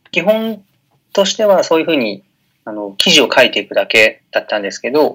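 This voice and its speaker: A man speaks at a moderate pace. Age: 20s. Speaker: blogger and web entrepreneur. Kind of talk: interview.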